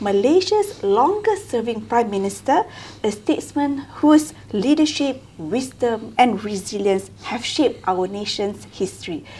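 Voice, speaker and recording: Noticeable background noise behind very wide pitch swings at a fairly slow pace. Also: woman, fairly high pitch for a woman. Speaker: podcast host. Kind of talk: podcast introduction.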